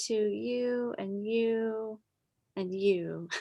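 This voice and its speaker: A woman talks with a strong Wisconsin accent. The background is quiet. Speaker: church children's director. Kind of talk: casual group introductions.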